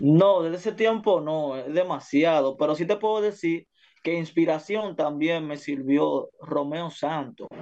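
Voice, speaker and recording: In an ordinary speaking voice, a man speaks fairly high for his sex, with ordinary pitch variation. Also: fairly slow pace. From Dominican Republic, Santo Domingo barrio. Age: 20s. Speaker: music producer and urban artist. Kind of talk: casual interview.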